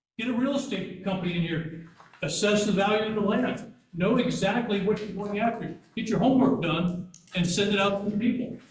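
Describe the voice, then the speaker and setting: Audible room echo surrounds a man with a high pitch. He speaks at a fairly quick pace, with ordinary pitch variation. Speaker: retired educator, public commenter. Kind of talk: public comment. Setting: board meeting room. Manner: blunt.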